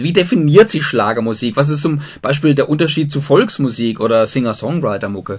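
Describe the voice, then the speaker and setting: A man talks at a fairly quick pace with hardly any pauses. His voice is somewhat breathy. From southern Germany. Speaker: radio host. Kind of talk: radio interview.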